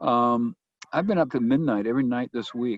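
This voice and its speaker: A man at a medium pitch and moderate pace, with ordinary pitch variation. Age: 60s. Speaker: winery owner and entrepreneur. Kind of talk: webinar interview. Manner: halting.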